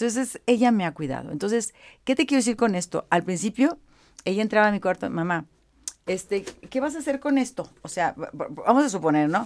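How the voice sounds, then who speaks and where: A woman at a fairly quick pace with very wide pitch swings. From Monterrey, northern Mexico; Mexico. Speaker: image consultant; guest. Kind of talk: interview. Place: home room. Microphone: studio mic.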